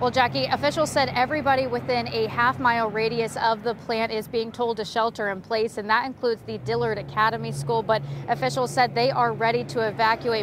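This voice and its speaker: A woman talks with hardly any pauses. Noticeable background noise runs underneath. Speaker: TV news reporter. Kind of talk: TV news field report.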